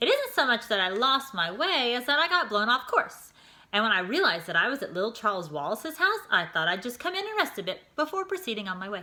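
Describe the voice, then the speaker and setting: In a creaky, put-on character voice with a cheerful tone, the speaker races along at a very fast pace with very wide pitch swings. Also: female-sounding voice, high pitch for a woman. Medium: read story. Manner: folksy, quaint, cheerful.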